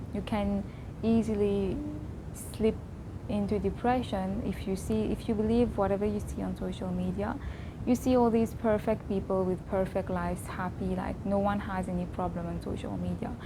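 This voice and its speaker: Audible room echo surrounds the moderately paced speech of this woman. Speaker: vlogger. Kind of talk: personal reflection monologue. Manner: loud; trying to keep voice down.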